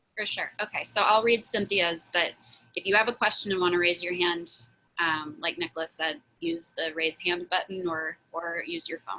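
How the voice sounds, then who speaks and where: A woman with an ordinary speaking voice, fairly low in pitch, talks at a moderate pace with ordinary pitch variation. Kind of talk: Q&A on a community video call. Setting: Zoom video call.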